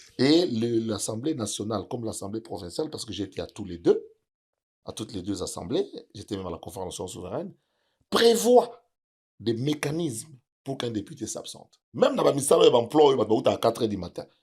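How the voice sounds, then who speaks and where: With an ordinary speaking voice, a man talks at a medium pitch and a fairly quick pace, lively in intonation and with big swings in loudness. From DR Congo, Kinshasa. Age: 60s. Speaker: music producer and provincial politician. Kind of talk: interview.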